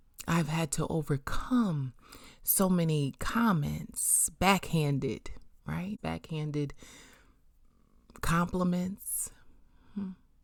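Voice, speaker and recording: Fairly low in pitch and somewhat breathy, a woman speaks at a very slow pace with ordinary pitch variation and long, frequent pauses in a very clean recording with a silent background. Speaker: podcast host and minister. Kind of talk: motivational podcast monologue. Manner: bold, not soft-spoken; forceful.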